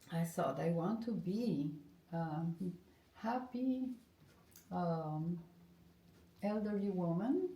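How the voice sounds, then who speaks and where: A somewhat breathy woman with a dark, mellow tone and fairly low pitch speaks at a very slow pace with long, frequent pauses, lively intonation and very even loudness, in audible room echo. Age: 60s. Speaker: art therapist and former professional musician. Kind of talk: interview. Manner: halting.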